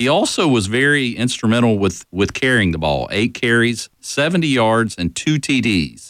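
Here is a man with an ordinary speaking voice at a medium pitch and moderate pace. The recording is very clean, with a silent background. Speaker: radio co-host. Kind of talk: sports talk radio. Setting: studio.

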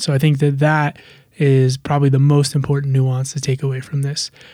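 At a moderate pace, a man speaks in a dark, mellow tone, his pitch fairly high for a man, his voice somewhat breathy and his intonation flat and monotone. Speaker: podcast co-host, paramedic educator. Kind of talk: educational interview discussion.

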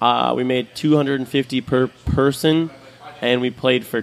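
A man at medium pitch, fairly even intonation and a moderate pace, over noticeable background noise. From New Orleans. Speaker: musician and pedicab driver. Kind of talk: casual chat. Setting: in a bar.

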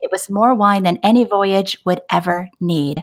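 On a very clean recording with a silent background, a woman with a plain, everyday voice talks at a medium pitch and a moderate pace with ordinary pitch variation. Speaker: podcast co-host. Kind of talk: casual chat.

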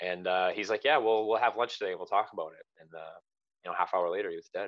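A man talks at a very fast pace. He has a Canadian accent. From Ontario, Canada. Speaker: army veteran. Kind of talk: casual chat. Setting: video call.

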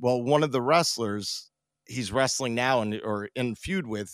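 A normal speaking voice from a man at medium pitch with ordinary pitch variation, dry and close with no echo, on a very clean recording with a silent background. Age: 50s. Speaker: podcast host, former wrestler. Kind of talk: casual chat.

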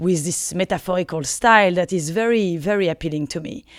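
In a very clean recording with a silent background, a woman with a French accent speaks at a moderate pace in a medium pitch with ordinary pitch variation. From France. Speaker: philosophy lecturer. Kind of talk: interview.

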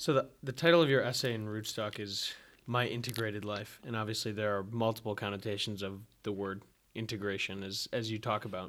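His pitch sits fairly low and varies in an ordinary way. This man has an ordinary speaking voice and talks at a fairly quick pace. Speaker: podcast host. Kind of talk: interview conversation.

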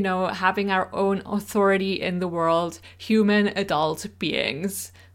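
A woman's medium-pitched voice with a Swiss German accent, on a very clean recording with a silent background. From Switzerland. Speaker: astrologer podcaster. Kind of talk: solo podcast introduction.

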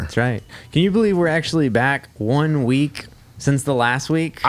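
A man with an unremarkable speaking voice talks at a moderate pace and a fairly high pitch. His pitch variation is ordinary and his loudness very even. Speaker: podcast host. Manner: playful, bantering.

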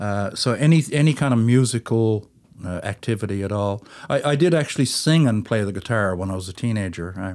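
A man's plain, everyday voice, fairly low in pitch, with lively intonation and a fairly quick pace. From St. John's, Newfoundland, Canada. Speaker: folk musician, fiddler. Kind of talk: casual interview chat.

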